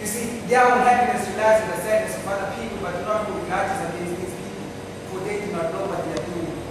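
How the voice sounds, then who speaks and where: Speech comes at a very fast pace. Background noise is noticeable. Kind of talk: slam poetry performance. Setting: live stage.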